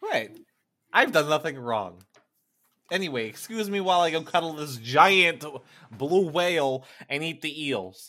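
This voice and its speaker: A man with a fairly high pitch and a bright, sharp tone speaks at a fairly slow pace with lively intonation. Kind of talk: casual banter around a tabletop roleplaying game.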